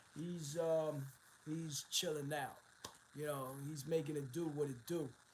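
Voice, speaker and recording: A man at a fairly slow pace, somewhat breathy and fairly high in pitch, with monotone, flat intonation and audible room echo. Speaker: internet radio host. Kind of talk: casual chat. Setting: studio.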